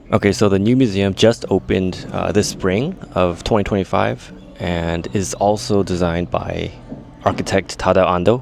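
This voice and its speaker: Noticeable background noise behind a voice with ordinary pitch variation. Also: man, very deep, low pitch for a man, moderate pace. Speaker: travel vlogger. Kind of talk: casual vlog talk on location. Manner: hesitant, many fillers.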